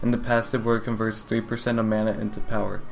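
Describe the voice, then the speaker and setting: A man talks against noticeable background noise. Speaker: gaming YouTuber. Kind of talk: video game guide narration. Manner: flat, unexciting.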